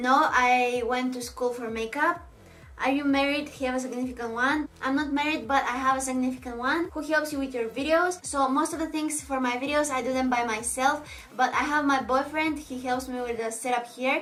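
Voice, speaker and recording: Audible room echo surrounds a woman speaking in a Bulgarian accent. Her pace is moderate and her intonation fairly even. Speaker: beauty vlogger, makeup artist. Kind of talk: Q&A vlog. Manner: casual, slightly halting.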